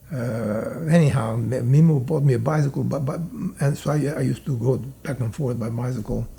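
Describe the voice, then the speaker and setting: With noticeable background noise behind him, a man of medium pitch talks at a fairly quick pace with ordinary pitch variation. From Italy. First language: Italian. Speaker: immigrant telling life story. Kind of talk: interview reminiscence. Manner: halting, many fillers.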